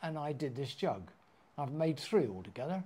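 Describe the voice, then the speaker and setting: This man speaks with a dark, mellow tone at a fairly high pitch, somewhat breathy, with lively intonation. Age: 80s+. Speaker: potter. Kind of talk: interview answer. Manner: full of fun.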